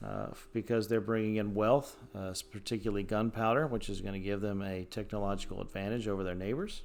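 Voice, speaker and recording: With music in the background and audible room echo, a man with a fairly low pitch talks very fast, with fairly even intonation and hardly any pauses. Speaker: high school history teacher. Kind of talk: recorded lecture. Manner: many fillers (uh, um).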